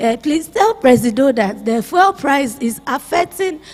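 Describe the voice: A woman speaks at a high pitch with a slightly mellow tone. Her pace is fairly slow.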